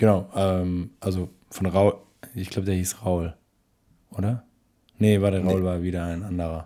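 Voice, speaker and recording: With a dark, mellow tone and a very deep, low pitch, a man speaks in a monotone, flat way at a moderate pace with long, frequent pauses. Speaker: film podcast co-host. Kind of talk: casual chat.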